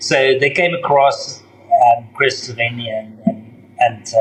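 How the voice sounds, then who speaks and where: Noticeable background noise accompanies the recording. A man speaks at a medium pitch. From South Africa. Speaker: bar owner and entrepreneur. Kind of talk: interview.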